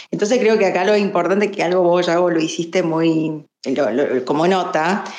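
With audible echo from the room, a woman talks fairly slowly. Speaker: lawyer. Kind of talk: casual discussion.

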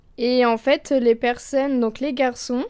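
On a very clean recording with a silent background, a soft-spoken woman talks in a high pitch with a dark, mellow tone. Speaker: university student, culture columnist. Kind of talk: prepared column.

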